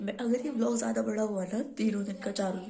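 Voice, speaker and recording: A woman of medium pitch at a moderate pace, with audible room echo and noticeable background noise. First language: Hindi. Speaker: vlogger. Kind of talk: casual vlog talk.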